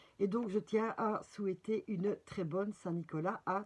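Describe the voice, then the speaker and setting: A woman at medium pitch speaks at a very slow pace. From Belgium. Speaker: spiritual guidance presenter, card reader. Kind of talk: casual guidance video with reading aloud. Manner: hesitant, many fillers.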